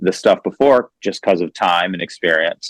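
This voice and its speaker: A man with an American accent and an ordinary speaking voice, lively intonation, and a dry, close sound with no echo. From Texas, Houston. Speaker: musician. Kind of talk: interview.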